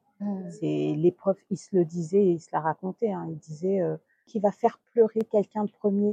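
At a moderate pace, a dark, mellow voice keeps fairly even intonation but swings widely in loudness, in dry, close sound with no echo. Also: woman, medium pitch for a woman. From Guadeloupe. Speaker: entrepreneur. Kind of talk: interview.

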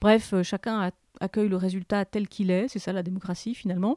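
A woman at a fairly quick pace, her tone dark and mellow, in a very clean recording with a silent background and a dry, close sound with no echo. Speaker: podcast host. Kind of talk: scripted narration.

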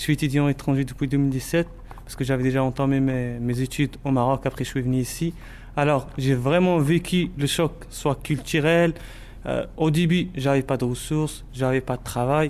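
A man's fairly high voice at a moderate pace, with fairly even intonation. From Morocco. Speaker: student volunteer. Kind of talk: interview. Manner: halting.

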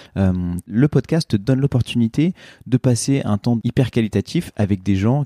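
A man speaks in a dark, mellow tone with ordinary pitch variation. The sound is dry and close with no echo, on a very clean recording with a silent background. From eastern France, Ain (Oyonnax). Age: 30s. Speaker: podcaster and fashion entrepreneur. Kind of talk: interview conversation. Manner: hesitant, many fillers and repetitions.

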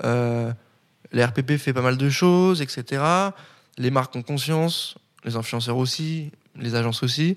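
A man at a medium pitch with ordinary pitch variation, talking at a very slow pace with long, frequent pauses. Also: very clean recording, silent background. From France, Nancy (Lorraine). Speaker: media founder and editor-in-chief. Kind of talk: podcast interview. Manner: casual, hesitant.

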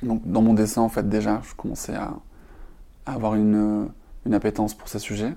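A man's fairly low, dark, mellow voice, monotone and flat, at a moderate pace with long, frequent pauses and big swings in loudness, in a very clean recording with a silent background. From southern France, Perpignan. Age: 30s. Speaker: LGBT and climate activist, illustrator and author. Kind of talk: podcast interview. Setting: hotel room. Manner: hesitant, many fillers.

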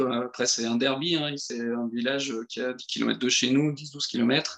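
A man speaks at medium pitch. His pace is very slow. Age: 30s. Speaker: amateur football coach. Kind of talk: podcast interview. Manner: hesitant, many fillers.

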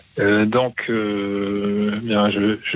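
The speaker is a man. His pitch is fairly low. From Toulouse, France. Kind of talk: call-in testimony on ecology. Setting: phone call.

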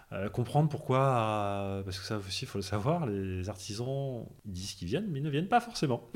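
In a normal speaking voice, a man of medium pitch talks at a fairly quick pace with lively intonation. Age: 30s. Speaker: finance worker, home renovator. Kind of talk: casual interview.

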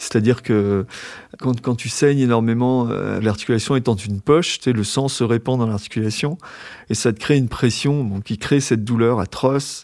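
Using a plain, everyday voice, a man talks at a moderate pace with a medium pitch and fairly even intonation. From Brittany, Brest. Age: 50s. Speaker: former journalist living with hemophilia. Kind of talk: casual interview while walking. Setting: outdoors on a walking trail, then café.

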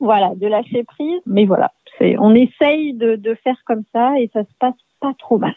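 A woman speaks at a fairly slow pace in a normal speaking voice. Her pitch sits fairly high, with ordinary variation. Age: 40s. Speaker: parent guest. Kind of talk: casual chat.

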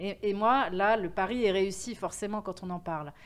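The woman speaks at a fairly slow pace. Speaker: event agency founder. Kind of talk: interview. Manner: energetic; hesitant with fillers.

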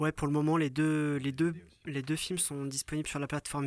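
A man speaks in a monotone, flat way. The recording is very clean, with a silent background. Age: 30s. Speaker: photographer. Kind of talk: casual chat. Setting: in a yurt.

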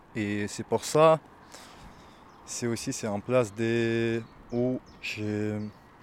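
The man speaks at a medium pitch. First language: not French (speaking French). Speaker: asylum seeker, workshop participant. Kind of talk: testimony. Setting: outdoors on a cliff edge. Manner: halting.

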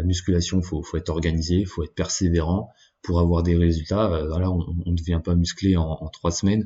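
This man has a very deep, low pitch and a somewhat breathy voice. He talks at a fairly quick pace with monotone, flat intonation. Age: 20s. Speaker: podcast host. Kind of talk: solo monologue. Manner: halting.

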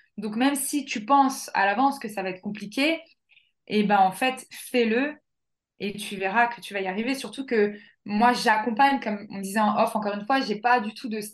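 The woman's pitch is fairly high with ordinary pitch variation, and she keeps a moderate pace. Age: 30s. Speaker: life coach and dance therapist. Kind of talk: casual interview. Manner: animated.

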